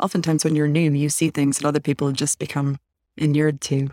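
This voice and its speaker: In an American accent, the speaker keeps a fairly even intonation, and the sound is dry and close with no echo. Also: woman. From Chicago suburbs, US. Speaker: author and researcher. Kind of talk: interview conversation.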